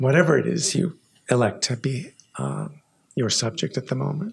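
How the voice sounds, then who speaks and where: Somewhat breathy delivery at a fairly slow pace. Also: man. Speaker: poet. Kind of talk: poem reading with spoken commentary. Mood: thoughtful, warm. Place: hall. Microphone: podium.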